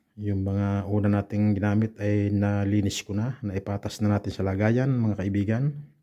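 A man talks at a moderate pace in a fairly low pitch with flat, monotone intonation. He hardly pauses at all. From Philippines. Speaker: overseas domestic worker vlogger. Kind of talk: vlog narration.

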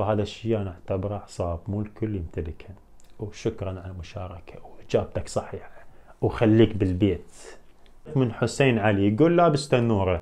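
Somewhat breathy, a man speaks at a fairly low pitch with a dark, mellow tone. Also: ordinary pitch variation, moderate pace. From Iraq. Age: 20s. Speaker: YouTuber. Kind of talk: Q&A video. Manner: animated.

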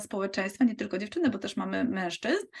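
Somewhat breathy and fairly high in pitch, a woman speaks against a quiet background. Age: 40s. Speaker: physiotherapist and network marketing recruiter. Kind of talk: sales pitch.

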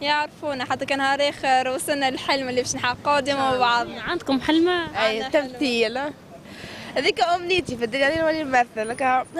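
The speech moves at a fairly quick pace, the sound dry with no echo and light background noise. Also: woman. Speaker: interviewee. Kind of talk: interview answer. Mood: cheerful, laughing. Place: street. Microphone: handheld.

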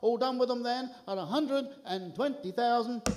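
A man speaks at an extremely high pitch with ordinary pitch variation. Noticeable background noise runs underneath. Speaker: auctioneer. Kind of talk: auction calling. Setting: live event hall.

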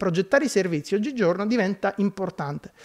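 The delivery comes at a very fast pace. Its intonation is lively. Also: man. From Sicily, Scicli. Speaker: service design expert, speaker. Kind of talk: public talk. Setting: conference hall with audience.

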